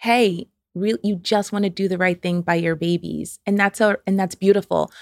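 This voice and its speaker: A woman's medium-pitched voice with a New York accent, dry and close with no echo, on a very clean recording with a silent background. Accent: American, New York. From upstate New York (Albany). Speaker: financial therapist. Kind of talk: casual interview chat.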